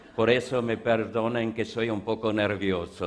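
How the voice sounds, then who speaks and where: In a flat monotone, a man speaks at a fairly low pitch. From Austria (Vienna). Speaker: lecturer, art exhibition expert. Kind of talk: conference talk. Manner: halting, non-native.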